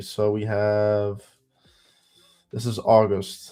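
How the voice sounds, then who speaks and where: A man with a strong Dutch accent speaks in a fairly low pitch with a dark, mellow tone and monotone, flat intonation. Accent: heavy Dutch. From Netherlands. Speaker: day trader teaching trading. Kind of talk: live stream trading tutorial. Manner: casual, thinking aloud.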